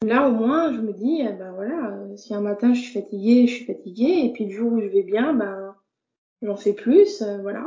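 Somewhat breathy and fairly slow, a woman speaks with ordinary pitch variation and big swings in loudness. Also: fairly high pitch for a woman. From France, Burgundy (Dijon). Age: 30s. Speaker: visually impaired card maker. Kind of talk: interview conversation. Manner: hesitant, many fillers.

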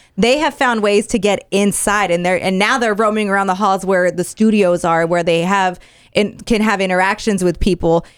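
A woman with a normal speaking voice talks at a moderate pace and medium pitch, her intonation fairly even and her loudness very even, in a very clean recording with a silent background. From Mexican-American. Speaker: radio host. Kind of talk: casual chat.

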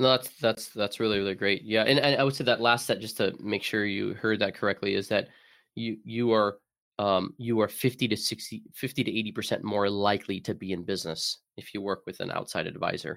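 A man with an American accent, fairly low pitch, fairly even intonation and a fairly quick pace, in a very clean recording with a silent background. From Arizona. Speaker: bookkeeping firm CEO. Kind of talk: interview. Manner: hesitant, many fillers.

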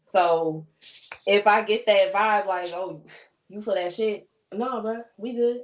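Very slowly and with long, frequent pauses, a woman with an American accent speaks in a medium pitch. Her intonation stays fairly even while her loudness swings widely. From Chicago. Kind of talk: casual chat.

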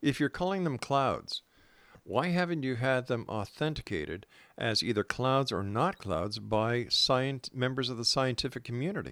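A man with a Canadian accent and a plain, everyday voice, medium in pitch, lively in intonation, at a moderate pace, on a very clean recording with a silent background. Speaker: radio host. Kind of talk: radio interview. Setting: radio studio.

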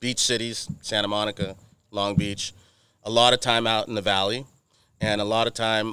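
A man with an American accent at a moderate pace, flat and monotone, with a bright, sharp tone in a very clean recording with a silent background. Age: 40s. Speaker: automotive marketing agency owner. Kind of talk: casual chat. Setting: outdoors.

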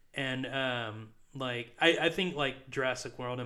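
A man speaks at a moderate pace in a plain, everyday voice, medium in pitch with ordinary pitch variation. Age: 20s. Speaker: podcast co-host. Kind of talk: casual chat.

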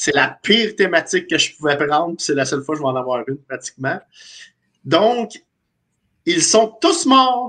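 A man's high-pitched, bright, sharp voice, with very wide pitch swings, a fairly slow pace and long, frequent pauses. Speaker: hockey panelist. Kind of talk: casual sports panel chat.

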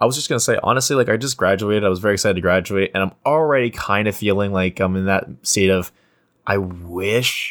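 Talking at a very fast pace, a man with a fairly low pitch uses a playful tone. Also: ordinary pitch variation. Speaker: podcast co-host. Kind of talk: casual chat. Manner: playful, joking.

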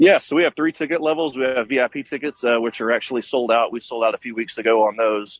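Here a man talks at a very fast pace with an East Texas accent. His voice sits at a medium pitch with ordinary pitch variation. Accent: East Texas American. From Texas, Tyler. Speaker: festival organizer. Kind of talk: radio interview. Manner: halting.

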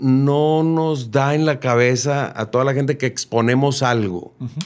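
A man talks at a fairly slow pace and a fairly high pitch in an ordinary speaking voice. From Monterrey, Mexico. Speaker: singer-songwriter. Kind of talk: casual interview chat.

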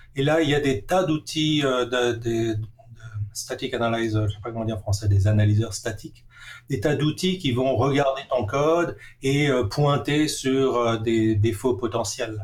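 The speaker is a man with a medium-pitched, somewhat breathy voice. He talks at a fairly slow pace. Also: ordinary pitch variation. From Alsace, France (Strasbourg). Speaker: software engineering professor. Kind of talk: interview. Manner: hesitant, many filler sounds.

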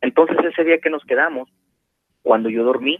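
A man does the talking. His pitch varies in an ordinary way. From Mexico, Puebla. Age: 20s. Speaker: auto body painter. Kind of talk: personal testimony. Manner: halting, many fillers.

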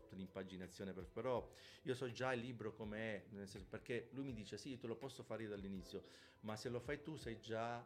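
A man speaks with a plain, everyday voice at a medium pitch. His intonation stays fairly even. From southern Italy, Calabria (Pizzo Calabro). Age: 50s. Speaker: bass player. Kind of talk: casual interview. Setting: live-streamed podcast.

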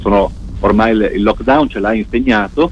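A man's fairly quick delivery comes through noticeable background noise. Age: 40s. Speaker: radio tech columnist. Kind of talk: radio chat. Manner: halting.

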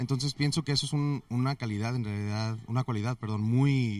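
The man has an ordinary speaking voice at a medium pitch. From US, Mexican family from Guadalajara. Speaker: IT consultant. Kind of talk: interview. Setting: conference venue.

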